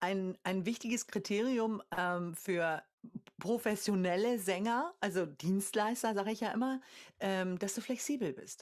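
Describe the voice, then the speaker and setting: The speaker moves at a fairly slow pace with ordinary pitch variation. The background is quiet. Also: woman. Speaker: singer and vocal coach; vocal coach. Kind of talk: casual chat. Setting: video call. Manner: contagious laugh. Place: home room.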